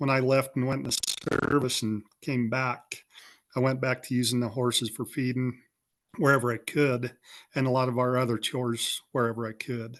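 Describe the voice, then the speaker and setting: With a rural western American accent, a man speaks at a moderate pace in a flat, monotone way, pausing long and often. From Wyoming. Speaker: rancher. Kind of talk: interview.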